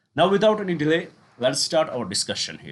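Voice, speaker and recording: Speaking very fast, a man keeps his intonation lively. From Kashmir, northern India. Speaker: online exam-prep teacher. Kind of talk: lecture. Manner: halting, with self-corrections and fillers.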